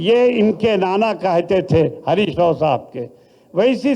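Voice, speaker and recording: Dark, mellow tone from a man, with ordinary pitch variation. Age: 70s. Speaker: politician. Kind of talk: political speech. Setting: party meeting hall.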